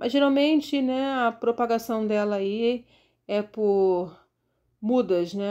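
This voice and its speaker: A woman speaks with a dark, mellow tone. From Rio de Janeiro, Brazil. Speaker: gardening YouTuber. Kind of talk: casual tutorial walkthrough of plants. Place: garden. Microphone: phone near.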